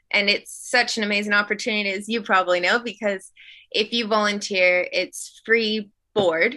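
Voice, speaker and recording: A woman speaks at a moderate pace with medium pitch and fairly even intonation. Her tone is bright and sharp, and the background is quiet. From Alaska. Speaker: wildlife camerawoman. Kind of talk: interview.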